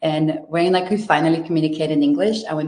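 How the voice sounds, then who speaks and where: A woman's very deep, low voice with a Brazilian Portuguese accent. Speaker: investment manager. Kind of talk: webinar presentation. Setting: online webinar.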